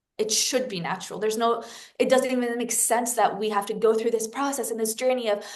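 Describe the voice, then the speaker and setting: The voice is animated in tone and carries a French accent. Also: woman. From France. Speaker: spiritual guide. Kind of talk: casual interview conversation.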